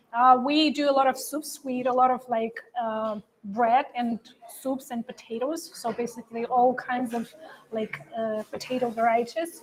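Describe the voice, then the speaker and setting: Someone speaks with a Russian accent at a moderate pace with fairly even intonation. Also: woman, high pitch for a woman. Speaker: livestream co-host. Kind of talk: casual chat. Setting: trade show livestream.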